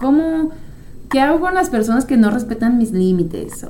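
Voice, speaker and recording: Amid audible room echo, the voice swings very widely in pitch at a moderate pace. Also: woman. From France. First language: French (speaking Spanish). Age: 30s. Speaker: psychologist and podcast host. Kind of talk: casual monologue.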